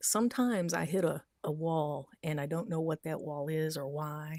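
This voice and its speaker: With ordinary pitch variation, a woman speaks in a fairly low pitch. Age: 50s. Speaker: online commentator. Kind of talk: live stream monologue. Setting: livestream. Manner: slow; halting.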